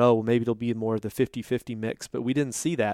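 A man with a Texan accent speaks at a medium pitch in a dry, close recording with no echo, very clean against a silent background. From Texas (Boerne, near San Antonio). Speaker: fisheries scientist. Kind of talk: interview. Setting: research institute office.

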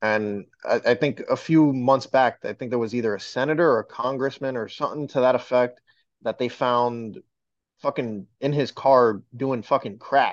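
In a quiet background, a man with a plain, everyday voice talks at a moderate pace, medium in pitch with fairly even intonation. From New York, Dominican heritage. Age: 20s. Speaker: podcaster. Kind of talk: casual chat.

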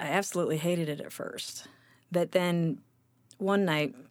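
Her pace is moderate. The woman's pitch sits in the medium range. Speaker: singer-songwriter and pianist. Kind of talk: casual interview chat. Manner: halting, hesitant.

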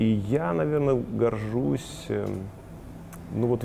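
Dark, mellow male speech pitched fairly low. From Kazakhstan (Shymkent), then Moldova from age ~10. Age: 30s. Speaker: marketing director. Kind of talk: interview.

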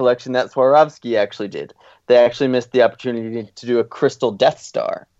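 Reading aloud in a natural voice with ordinary pitch variation, the speaker is heard against a quiet background.

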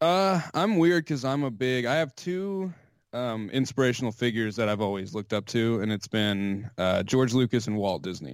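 This speaker has an American accent, a moderate pace and very wide pitch swings. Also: man, medium pitch for a man. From US South. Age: 20s. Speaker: podcast host and former sports journalist. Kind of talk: casual interview. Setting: Skype call.

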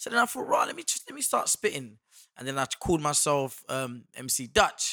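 With a British accent, a man talks at a moderate pace. His loudness swings a lot. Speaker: actor. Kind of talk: casual chat.

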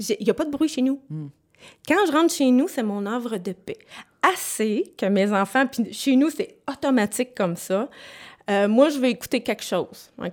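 Her intonation lively, a woman speaks at a moderate pace with long, frequent pauses in a very clean recording with a silent background. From Quebec, Sherbrooke. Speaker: bereaved mother, daycare operator. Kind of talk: testimony.

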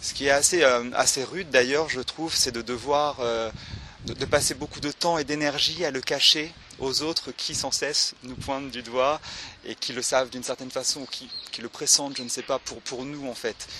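A man at medium pitch and moderate pace, fairly even intonation, big swings in loudness, and noticeable background noise. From France, Le Mans. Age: 30s. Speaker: artist and theatre director. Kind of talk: interview conversation. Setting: outdoors in a park. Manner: halting.

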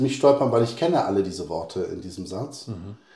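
A man with a fairly low pitch speaks at a moderate pace in a dark, mellow tone that is somewhat breathy. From Hesse, Germany (Bad Soden, Polish parents). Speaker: poet and school teacher. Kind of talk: interview.

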